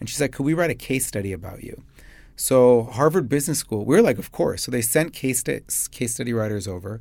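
A man with a Chicago accent talks at a medium pitch and a fairly quick pace, with lively intonation and big swings in loudness. The recording is very clean, with a silent background. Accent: Chicago American. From US Midwest, Chicago. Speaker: business founder and CEO. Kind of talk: interview. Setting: studio.

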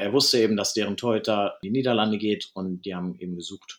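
A man talks in a normal speaking voice. His intonation is fairly even and his pace fairly quick. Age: 30s. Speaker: field hockey goalkeeper. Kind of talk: interview.

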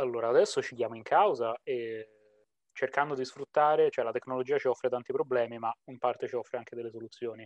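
A man at a fairly quick pace, big swings in loudness, dry, close sound with no echo. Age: 20s. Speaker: psychologist. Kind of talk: casual interview.

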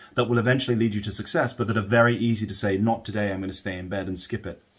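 A man of medium pitch with fairly even intonation, on a very clean recording with a silent background. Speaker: alpine ski racer. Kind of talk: casual interview.

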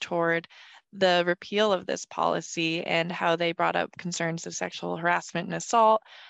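A woman speaks in a normal speaking voice, fairly low in pitch with ordinary pitch variation. Her pace is fairly quick, and the sound is dry and close with no echo. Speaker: podcast co-host. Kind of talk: interview.

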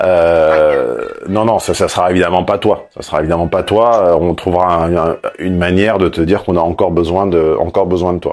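A man with a very deep, low voice speaks in a monotone, flat way with hardly any pauses. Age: 50s. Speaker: negotiation coach. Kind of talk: consultation call.

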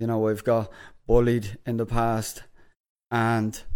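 A man speaks with an Irish accent. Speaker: podcast host. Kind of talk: casual chat. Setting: studio.

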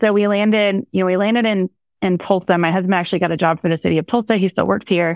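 With an American accent, a woman of medium pitch speaks at a very fast pace with fairly even intonation, in a dry, close sound with no echo and a quiet background. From rural Oklahoma. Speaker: city economic development executive. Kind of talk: interview conversation.

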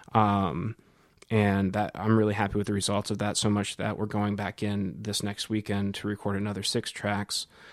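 At a moderate pace, a speaker with an American accent talks in a monotone, flat intonation in a very clean recording with a silent background. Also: man. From US Midwest, Cedar Rapids, Iowa. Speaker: jazz professor and saxophonist. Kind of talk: interview. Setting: office.

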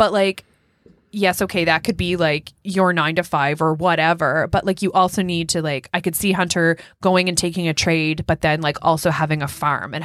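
Here a woman talks in an ordinary speaking voice. Her pitch is fairly low and her intonation fairly even. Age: 30s. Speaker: podcast co-host and nurse. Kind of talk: casual chat.

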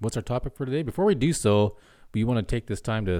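On a very clean recording with a silent background, a man with a dark, mellow tone talks at a fairly quick pace with lively intonation. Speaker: podcast host. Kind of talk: casual chat. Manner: joking.

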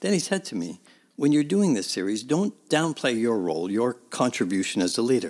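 A man with a Canadian accent and very wide pitch swings, on a very clean recording with a silent background. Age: 60s. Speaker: podcast host and church minister. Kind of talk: reflective scripted narration.

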